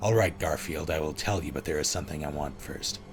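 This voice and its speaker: Clear background noise sits under this recording. A man rattles off a put-on character voice at a very fast pace. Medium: read story. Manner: seductive.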